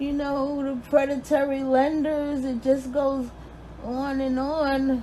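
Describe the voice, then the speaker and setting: Very slowly, a woman speaks with a high pitch and monotone, flat intonation. Background noise is noticeable. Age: 50s. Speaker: registered nurse. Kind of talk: personal appeal to camera.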